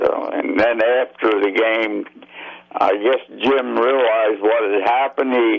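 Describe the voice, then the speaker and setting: Noticeable background noise runs under a man speaking at a fairly slow pace with very even loudness. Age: 80s+. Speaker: former baseball player. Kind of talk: interview. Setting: phone call.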